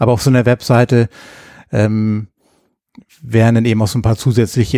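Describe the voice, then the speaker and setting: Recorded very cleanly with a silent background and a dry, close sound with no echo, a man's fairly low, dark, mellow voice stays monotone and flat. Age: 40s. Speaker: podcast host, square dance caller. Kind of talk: casual chat.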